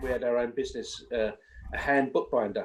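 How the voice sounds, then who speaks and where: Noticeable background noise accompanies a man talking fairly quickly with an English accent. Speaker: singer and vocal coach. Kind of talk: interview. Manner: casual.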